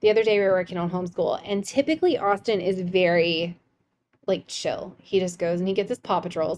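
A plain, everyday voice from a woman, medium in pitch, with ordinary pitch variation and a fairly quick pace. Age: 30s. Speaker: podcast host, mother. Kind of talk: casual chat.

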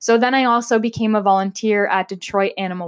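A woman with a Canadian accent and medium pitch speaks at a moderate pace with fairly even intonation. The recording is very clean and dry, close, with no echo and a silent background. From southwestern Ontario, Canada. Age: 20s. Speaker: podcast host. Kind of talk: casual monologue. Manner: chatty.

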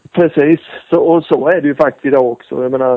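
Here is a man with a plain, everyday voice. He goes at a fairly quick pace with ordinary pitch variation. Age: 40s. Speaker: former motocross racer. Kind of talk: casual interview. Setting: phone call.

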